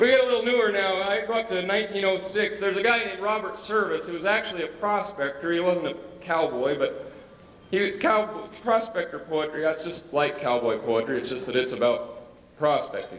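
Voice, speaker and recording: Noticeable background noise sits behind a man with a high pitch. He talks at a fairly quick pace with lively intonation. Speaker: cowboy poetry performer. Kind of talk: casual talk to a live audience.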